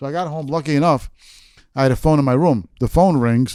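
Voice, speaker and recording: A man with a New York accent speaks at a fairly quick pace in a dark, mellow tone. The recording is very clean, with a silent background. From New York City, Queens. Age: 60s. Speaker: author. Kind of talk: storytelling interview.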